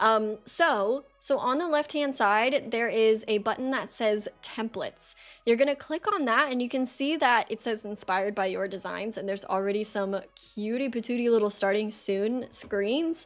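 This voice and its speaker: With music in the background, a woman speaks with hardly any pauses and ordinary pitch variation. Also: fairly high pitch for a woman, moderate pace. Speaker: streaming tutorial creator. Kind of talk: tutorial. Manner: casual, many fillers.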